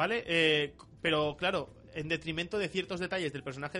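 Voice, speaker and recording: A man's bright, sharp voice sits fairly high in pitch, with ordinary pitch variation. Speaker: podcast co-host. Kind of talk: casual chat. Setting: radio studio. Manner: animated.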